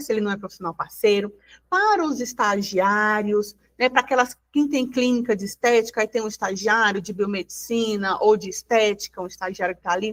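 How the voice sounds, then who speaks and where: In an ordinary speaking voice, a woman talks at a moderate pace with fairly high pitch and ordinary pitch variation, the sound dry and close with no echo. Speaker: union advisor presenting to beauty business owners. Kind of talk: online workshop presentation.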